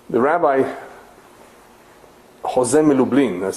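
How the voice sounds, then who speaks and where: A man's voice in a non-native accent, with fairly even intonation. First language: not English. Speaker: rabbi teaching a lecture series. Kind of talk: lecture.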